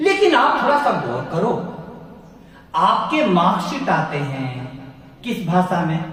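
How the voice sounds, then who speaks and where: A high-pitched man with a Bihari accent, very wide pitch swings and long, frequent pauses, amid audible room echo and music in the background. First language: Bhojpuri (speaking Hindi). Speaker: professor. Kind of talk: lecture.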